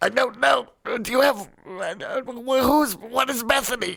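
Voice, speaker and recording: A man puts on a character voice, pitched extremely high and delivered at a fairly slow pace. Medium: actual play. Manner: stammering, fearful.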